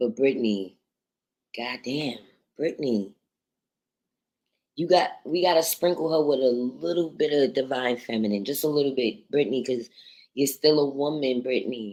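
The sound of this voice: A woman's extremely low-pitched voice with a dark, mellow tone, ordinary pitch variation and a moderate pace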